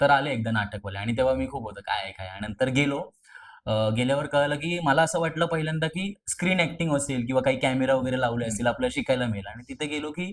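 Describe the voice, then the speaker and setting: Using an ordinary speaking voice, a man with a medium pitch speaks with lively intonation. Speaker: college student actor. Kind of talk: interview.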